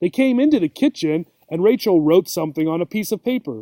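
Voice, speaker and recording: A put-on character voice from a man, high-pitched and at a very fast pace. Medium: read story. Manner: teasing, impatient, bossy.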